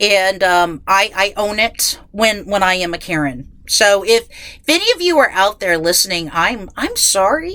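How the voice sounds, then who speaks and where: A woman with a medium pitch and a bright, sharp tone talks at a fairly slow pace with lively intonation and hardly any pauses. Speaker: true crime podcast host. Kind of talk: casual podcast intro. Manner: halting, repetitive stammering.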